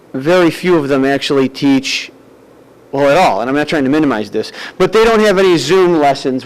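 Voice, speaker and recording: Noticeable background noise surrounds a man who talks with an American accent. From US Northeast. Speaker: parent speaking at public comment. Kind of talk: public comment at school board meeting.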